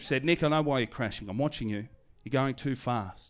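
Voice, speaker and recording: A man with an Australian accent speaks at a moderate pace in a medium pitch, with ordinary pitch variation. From Australia, Hoppers Crossing, western Melbourne. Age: 30s. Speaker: stand-up comedian. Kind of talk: stand-up. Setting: stage with audience. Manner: animated.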